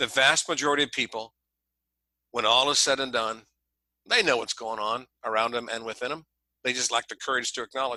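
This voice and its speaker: Speaking with a Midwestern American accent, a man talks at a very fast pace with long, frequent pauses and fairly even intonation. His tone is bright and sharp, and the sound is dry and close with no echo against a quiet background. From Ohio, Columbus area. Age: 60s. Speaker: leadership coach. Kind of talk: podcast interview.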